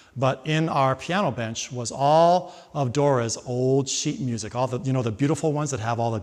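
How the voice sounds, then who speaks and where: The intonation here is lively. It is a plain, everyday voice. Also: man. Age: 60s. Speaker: singer and voice teacher. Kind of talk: interview.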